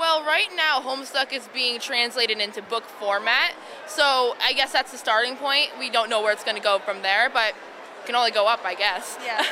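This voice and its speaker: A woman's high voice with an American accent, ordinary pitch variation and noticeable background noise. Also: moderate pace. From Connecticut, US. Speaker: convention attendee cosplayer. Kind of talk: casual interview answers. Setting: convention floor.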